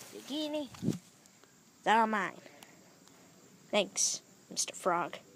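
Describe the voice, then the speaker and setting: A cartoonish character voice that sounds female speaks at a very slow pace and fairly high pitch, with long, frequent pauses. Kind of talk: puppet show dialogue. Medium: puppet.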